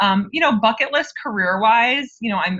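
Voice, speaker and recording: A woman is speaking. She has a New York accent. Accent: American (New York). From upstate New York (Albany). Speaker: HR director. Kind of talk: interview.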